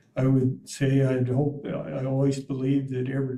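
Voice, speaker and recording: A man with an American accent speaks at medium pitch with a dark, mellow tone that is somewhat breathy. His delivery is a flat monotone at a fairly slow pace. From US, north central Montana. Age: 80s+. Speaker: board applicant, retiree. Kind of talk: interview. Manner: halting, many fillers.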